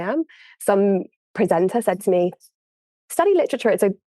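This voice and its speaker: A woman with an English accent talks at a fairly quick pace in a dark, mellow tone. The sound is dry and close with no echo, over a quiet background. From England, Worcester. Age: 30s. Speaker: audio producer. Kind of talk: interview.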